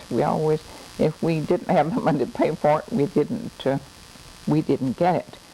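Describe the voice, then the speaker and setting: Very deep and low in pitch, a woman with a Southern US accent talks at a moderate pace with lively intonation. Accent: Southern US (Oklahoma). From Oklahoma. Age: 80s+. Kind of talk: interview answer. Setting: home recording.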